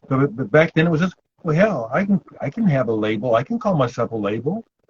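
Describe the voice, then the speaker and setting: Speaking at a very fast pace with an American accent, a man sounds somewhat breathy, with very wide pitch swings and a dry, close sound with no echo. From Omaha, Nebraska, US Midwest. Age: 60s. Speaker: punk musician. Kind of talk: interview.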